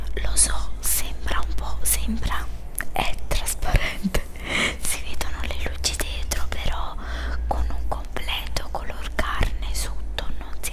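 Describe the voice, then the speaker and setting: Very slowly, a woman speaks while noticeable background noise carries on around her. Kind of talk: ASMR unpacking and try-on video, casual talk to camera. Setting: ASMR video with water sounds.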